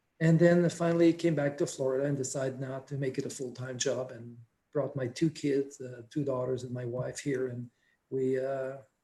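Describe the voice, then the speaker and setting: This man's voice has a dark, mellow tone and is somewhat breathy, with a medium pitch, fairly even intonation and a moderate pace. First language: French. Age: 60s. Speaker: paramotor instructor. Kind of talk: interview.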